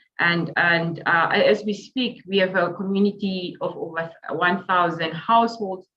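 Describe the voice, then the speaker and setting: A woman with a normal speaking voice and medium pitch talks at a moderate pace, her pitch varying in an ordinary way. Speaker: urban planning academic. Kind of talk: webinar panel talk. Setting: video call.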